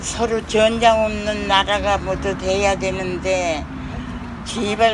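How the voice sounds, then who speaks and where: Over noticeable background noise, a woman speaks very slowly at a medium pitch. Her delivery is a flat monotone. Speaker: women's rights activist. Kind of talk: public speech.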